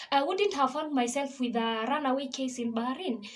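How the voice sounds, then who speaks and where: A woman with a Kenyan accent talks at a moderate pace in a high pitch. Background noise is noticeable. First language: Kikuyu. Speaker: gospel singer and vlogger. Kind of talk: personal testimony.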